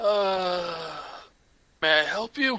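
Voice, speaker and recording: A man's put-on character voice, pitched high. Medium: actual play. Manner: slow, doddering.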